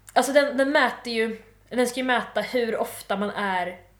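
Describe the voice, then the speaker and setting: The woman's voice carries audible room echo. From Malmö, southern Sweden. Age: 20s. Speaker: student. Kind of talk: casual chat.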